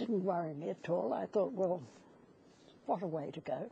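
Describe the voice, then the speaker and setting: At a moderate pace, a woman talks in a dark, mellow tone with vocal fry. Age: 80s+. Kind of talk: interview answer.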